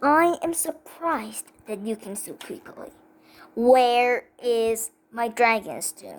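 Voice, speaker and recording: Using a put-on character voice, a woman speaks at a high pitch with lively intonation. She goes at a very slow pace. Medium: read story. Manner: cold, haughty.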